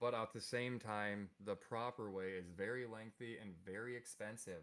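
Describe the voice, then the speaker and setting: Fairly low-pitched man in a Minnesota accent, moderate pace and fairly even intonation. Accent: Minnesotan. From US Midwest, Minnesota. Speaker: podcast guest. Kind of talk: casual chat. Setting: live stream.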